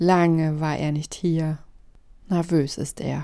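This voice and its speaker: Recorded very cleanly against a silent background, a woman talks at a very slow pace with a fairly low pitch. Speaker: radio satire narrator. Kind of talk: dramatic satirical narration, storybook-style. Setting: radio broadcast. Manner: sardonic, theatrical, building from dry irony to hushed pathos.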